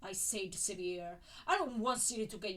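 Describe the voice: The passage is read aloud plainly, and the pitch varies in an ordinary way.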